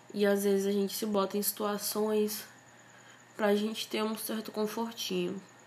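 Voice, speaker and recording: Noticeable background noise runs behind a woman at medium pitch. She talks at a moderate pace with monotone, flat intonation. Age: 20s. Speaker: podcast host. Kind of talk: casual monologue.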